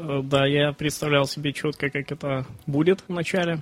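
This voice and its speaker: The speech is monotone and flat in intonation, with noticeable background noise. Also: man. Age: 30s. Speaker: online bookstore owner, entrepreneur. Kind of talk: interview. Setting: studio. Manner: halting, many fillers.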